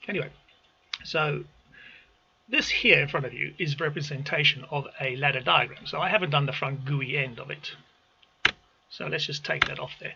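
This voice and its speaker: The speech moves at a moderate pace with long, frequent pauses and fairly even intonation, set against noticeable background noise. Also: man, fairly high pitch for a man. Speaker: automation engineer. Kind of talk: tutorial. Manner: halting.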